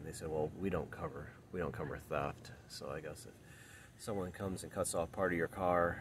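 This man has a very deep, low pitch. The sound is dry with no echo, and there is light background noise. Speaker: car owner vlogger. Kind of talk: casual vlog chat. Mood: wry, mildly frustrated. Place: street. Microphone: phone near.

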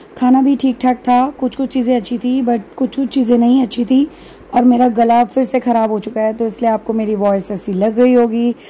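A dark, mellow tone with little pitch movement carries a fairly quick delivery with few pauses over faint background noise. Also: woman, fairly high pitch for a woman.

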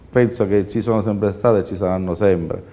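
A man's fairly low-pitched voice with ordinary pitch variation. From Sicily. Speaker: entrepreneur and publisher; guest. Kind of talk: studio panel discussion. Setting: TV studio. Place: studio. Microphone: lapel.

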